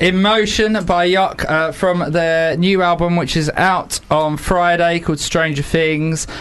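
With noticeable background noise behind him, a man speaks at a high pitch and fairly slow pace, keeping fairly even intonation and very even loudness. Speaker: radio host. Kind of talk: casual radio interview. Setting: studio.

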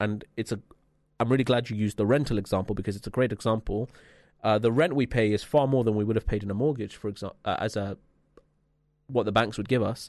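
A man with a London accent talks very fast at a medium pitch, with fairly even intonation. He takes long, frequent pauses against a quiet background. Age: 20s. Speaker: radio host. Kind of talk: casual chat. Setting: studio.

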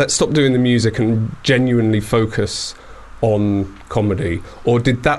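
With noticeable background noise, a man of medium pitch speaks at a moderate pace with very even loudness and fairly even intonation. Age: 40s. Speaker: radio show host. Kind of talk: casual chat. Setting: studio.

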